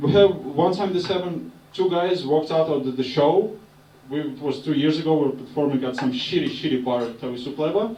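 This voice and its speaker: A man with a Russian accent speaks at a fairly quick pace with a fairly high pitch and ordinary pitch variation. Noticeable background noise and audible room echo fill the recording. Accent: Russian accent, non-native English. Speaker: stand-up comedian. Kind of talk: stand-up. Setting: stage with audience.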